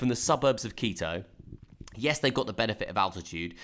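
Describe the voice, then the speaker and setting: This man talks with a southern English accent. His pitch variation is ordinary. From southern England (Brighton). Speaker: football podcast host. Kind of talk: casual chat. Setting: Skype call.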